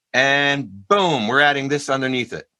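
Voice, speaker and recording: A man talks at a fairly quick pace in a fairly high pitch with a bright, sharp tone and fairly even intonation. The recording is very clean with a silent background. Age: 60s. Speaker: jazz vibraphonist and music educator. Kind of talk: panel interview. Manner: casual, conversational.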